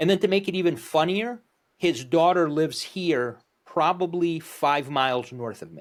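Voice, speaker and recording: A high-pitched man with a New Jersey accent, at a moderate pace, with big swings in loudness. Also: ordinary pitch variation. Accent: East Coast, New Jersey. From northern New Jersey, Morristown. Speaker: podcast host. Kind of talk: casual chat.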